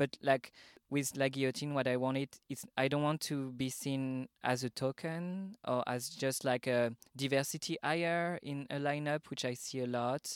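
The speaker has a French accent. The recording is very clean, with a silent background. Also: moderate pace. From Paris, France. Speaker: drag artist and event organiser. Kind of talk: casual interview chat.

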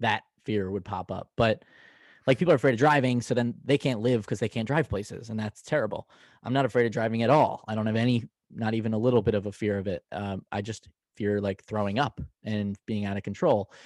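An ordinary speaking voice: a man at a fairly quick pace and fairly low pitch, with ordinary pitch variation, a dry, close sound with no echo, and a quiet background. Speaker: podcast co-host. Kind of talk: casual chat. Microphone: new mic.

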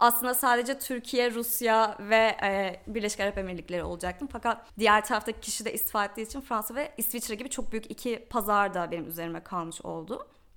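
With a plain, everyday voice, a woman talks at a fairly quick pace with a fairly high pitch, ordinary pitch variation and hardly any pauses. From Turkey. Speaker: digital marketer. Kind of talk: casual interview chat.

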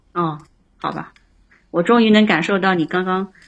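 Using ordinary pitch variation, the woman talks in a fairly low register. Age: 30s. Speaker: caller to advice livestream. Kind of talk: casual advice chat. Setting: live-stream call-in.

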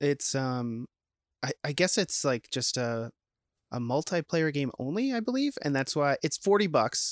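A man with an American accent speaks in an unremarkable speaking voice at a fairly slow pace, his pitch fairly high for a man, on a very clean recording with a silent background and a dry, close sound with no echo. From Minnesota (Saint Paul). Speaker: podcast co-host. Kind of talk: casual chat. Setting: home basement game room.

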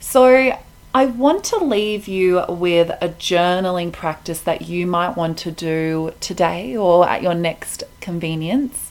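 This woman talks at a very slow pace with an Australian accent. Her tone is warm. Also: fairly low pitch for a woman, ordinary pitch variation. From Melbourne, Australia. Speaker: podcast host. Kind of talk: solo podcast monologue on mindfulness. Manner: warm, friendly, conversational.

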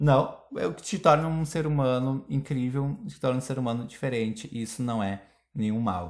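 On a very clean recording with a silent background, the words unfold fairly slowly. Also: man. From Brazil. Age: 20s. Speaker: podcast host. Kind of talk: casual chat. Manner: animated.

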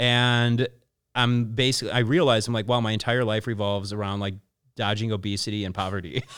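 Using an ordinary speaking voice, a man of medium pitch speaks with an American accent. His pace is fairly quick and his intonation fairly even. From Chicago, US Midwest. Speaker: publicist and influencer marketer. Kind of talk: casual interview chat. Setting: studio.

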